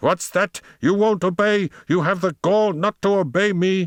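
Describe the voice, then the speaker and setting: A man uses a put-on character voice with a high pitch, speaking at a moderate pace. Hissing can be heard. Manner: dreadful, seething with indignant fury.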